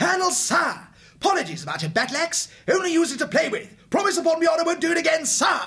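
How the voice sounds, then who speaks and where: A man talks very fast at an extremely high pitch, his voice raised and projected, bright and sharp, with ordinary pitch variation. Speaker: audiobook narrator voicing characters. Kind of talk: character voices in dramatic audiobook reading. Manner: boisterous, swaggering boyish bravado.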